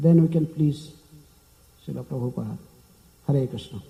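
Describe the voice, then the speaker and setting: A man with an Indian accent and a dark, mellow tone. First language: not English. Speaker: monk lecturer. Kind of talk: lecture. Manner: fast; hesitant fillers.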